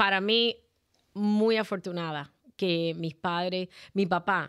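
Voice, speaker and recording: A woman with a fairly low pitch, ordinary pitch variation and an unremarkable speaking voice, on a very clean recording with a silent background. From Cuba. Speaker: life insurance agent. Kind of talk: interview.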